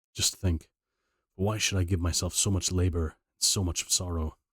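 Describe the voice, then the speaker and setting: A man's very deep, low voice, somewhat breathy and monotone, at a moderate pace, in a dry, close sound with no echo and a very clean recording with a silent background. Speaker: audiobook reader and streamer. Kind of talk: reading aloud; casual chat. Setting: live stream. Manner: halting.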